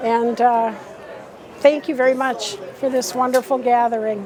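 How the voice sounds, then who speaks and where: A woman with an American accent speaks at a high pitch and a fairly slow pace, with audible room echo and crowd noise behind her. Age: 70s. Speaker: class reunion attendee. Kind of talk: casual interview. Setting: restaurant event.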